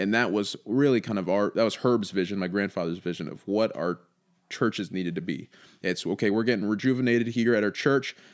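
A man with an American accent and a normal speaking voice talks at a fairly quick pace and fairly low pitch in a very clean recording with a silent background. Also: ordinary pitch variation. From northwestern Indiana. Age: 20s. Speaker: ministry leader. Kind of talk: casual chat.

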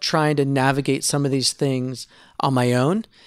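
A man speaks at a moderate pace with a fairly high pitch. He has an ordinary speaking voice. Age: 40s. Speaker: former church planter and pastor. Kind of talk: casual chat.

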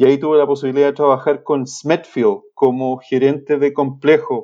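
Against a quiet background, a man with a Chilean accent speaks fairly slowly at a fairly high pitch in a dark, mellow tone. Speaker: swine nutritionist. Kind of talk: interview. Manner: halting, repeats words.

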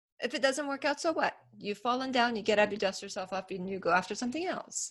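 Against a quiet background, a woman's voice shows vocal fry and very wide pitch swings. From Iran (Tehran), then Northern California from 13. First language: Persian. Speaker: business owner and facilitator. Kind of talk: interview. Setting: call.

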